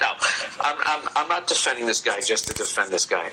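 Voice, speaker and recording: A man with an American accent, against noticeable background noise. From United States. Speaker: comedian. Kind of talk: podcast advice segment. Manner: profane, ranting.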